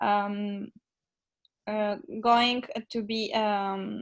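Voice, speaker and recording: A woman with a Macedonian accent, fairly high in pitch, in a monotone, flat intonation. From North Macedonia. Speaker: social media intern, interviewer. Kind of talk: interview.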